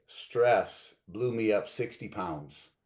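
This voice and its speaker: A man is speaking. The background is quiet. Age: 60s. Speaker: network marketing leader. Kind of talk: interview. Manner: animated.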